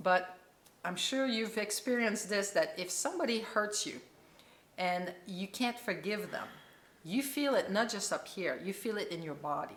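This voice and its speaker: A woman's normal speaking voice of medium pitch, with lively intonation at a moderate pace. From Quebec, Canada. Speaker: chiropractor and holistic healer. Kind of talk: interview answer.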